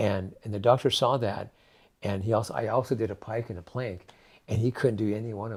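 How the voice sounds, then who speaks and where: A somewhat breathy man with an American accent and a fairly low pitch, at a fairly quick pace, on a very clean recording with a silent background. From California. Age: 70s. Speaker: raw food advocate. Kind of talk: interview. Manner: halting.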